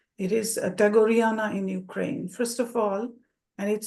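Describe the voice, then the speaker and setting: A woman speaks in a Bengali accent with a dark, mellow tone. Her pace is moderate and her intonation fairly even. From India (Bengal). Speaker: academic presenter. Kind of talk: presentation. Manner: hesitant, many fillers.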